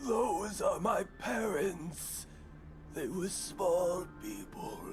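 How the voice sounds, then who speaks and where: Amid loud background noise, a man performs a put-on character voice. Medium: game stream. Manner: calm, quiet.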